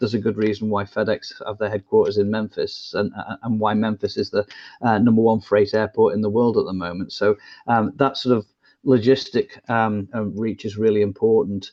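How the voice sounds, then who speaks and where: A man with an English accent speaks at a fairly quick pace, his fairly low voice in monotone, flat intonation. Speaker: business consultant. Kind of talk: interview. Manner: halting.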